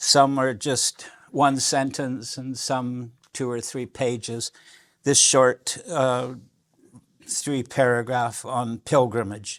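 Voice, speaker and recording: In a very clean recording with a silent background, a man speaks very slowly at a medium pitch with monotone, flat intonation. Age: 70s. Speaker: author. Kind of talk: lecture. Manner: halting.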